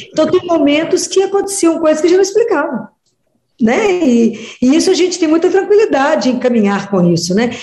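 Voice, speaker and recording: A woman speaks at an extremely high pitch with very wide pitch swings. Her loudness stays very even at a fairly quick pace. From Minas Gerais, Brazil (Oliveira). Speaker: pediatrician and religious speaker. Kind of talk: radio interview.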